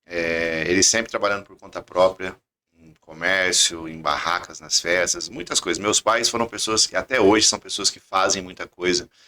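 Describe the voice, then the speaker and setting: Very deep and low, a man's voice has a bright, sharp tone at a moderate pace. His intonation is fairly even, but his loudness swings widely. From southern Minas Gerais, Brazil (Itajubá). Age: 30s. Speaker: engineer and credit company founder. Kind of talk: podcast interview.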